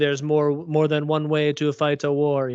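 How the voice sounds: A put-on character voice with a non-native accent is delivered at a moderate pace. The intonation stays monotone and flat. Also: man, fairly high pitch for a man. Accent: weird foreign.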